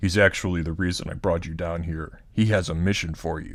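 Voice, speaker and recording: This man puts on a character voice, very deep and low in pitch. He talks at a fairly quick pace with monotone, flat intonation. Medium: game stream. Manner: urgent.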